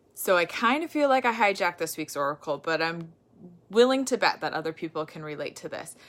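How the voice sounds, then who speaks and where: The voice has a relaxed tone, yet its loudness swings a lot and its pitch swings very widely. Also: woman, fairly low pitch for a woman. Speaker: oracle card reader, wellness coach. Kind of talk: casual oracle card reading to camera. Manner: relaxed, conversational with fillers.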